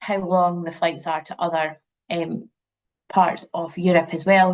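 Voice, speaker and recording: A woman with a Scottish accent and fairly low pitch speaks at a fairly slow pace in monotone, flat intonation, with big swings in loudness. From Scotland, near St Andrews, Fife. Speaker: university representative. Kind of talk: webinar presentation. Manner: casual, many fillers.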